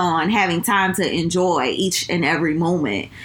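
A woman is heard over noticeable background noise, with audible room echo. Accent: New Orleans. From New Orleans, US South. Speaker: recent bride, friend of host. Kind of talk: casual chat.

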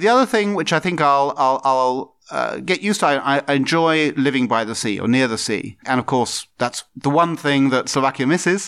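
Fairly high in pitch, a man talks at a moderate pace with ordinary pitch variation. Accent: southern English. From southeast England. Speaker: diplomat. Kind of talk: interview. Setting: embassy office. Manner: halting.

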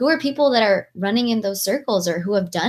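An American accent shapes this voice. There is a somewhat breathy quality to it. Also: woman. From Southern California (Long Beach, LA). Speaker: nonprofit founder. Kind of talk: interview podcast. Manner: animated.

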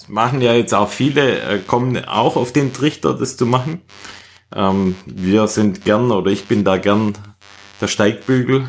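A man with a Swabian accent, fairly low in pitch, at a fairly slow pace with ordinary pitch variation, on a very clean recording over a silent background. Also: big swings in loudness. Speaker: running podcast host. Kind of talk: casual chat.

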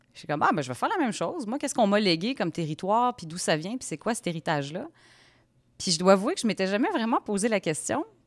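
A woman in a Quebec accent, medium in pitch, very fast, with very wide pitch swings and big swings in loudness, in a very clean recording with a silent background. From Quebec, Shawinigan. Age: 30s. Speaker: podcast host. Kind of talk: interview conversation; scripted narration.

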